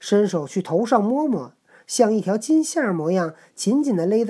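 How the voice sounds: This natural reading voice has intonation that rises and falls with life.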